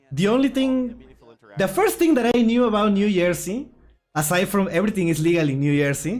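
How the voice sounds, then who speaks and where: The speaker has a strong Puerto Rican accent, very wide pitch swings and a moderate pace. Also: man. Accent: Puerto Rican accent, strong per self. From Puerto Rico. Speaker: gaming YouTuber, card game streamer. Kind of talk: casual livestream chat. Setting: livestream watchalong.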